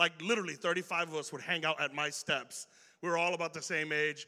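The recording is very clean, with a silent background. A man speaks very fast at a high pitch in a bright, sharp tone. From Chicago. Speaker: youth pastor. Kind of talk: sermon. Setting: church. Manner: casual, conversational.

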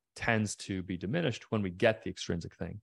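A man's fairly even delivery with a slight Irish accent, dry and close with no echo, on a very clean recording over silence. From Ireland, County Mayo (west coast). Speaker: neuroscience researcher and company founder. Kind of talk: interview conversation.

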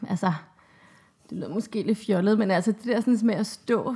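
A woman with a medium-pitched, somewhat breathy voice talks very fast with ordinary pitch variation. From Denmark, Copenhagen. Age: 30s. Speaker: mother of two, interviewee. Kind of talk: interview. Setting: at home.

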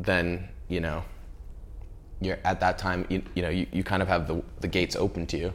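Speaking at a moderate pace, a man with an American accent has a very deep, low voice. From Central California. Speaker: art director. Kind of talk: interview. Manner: casual, many filler words.

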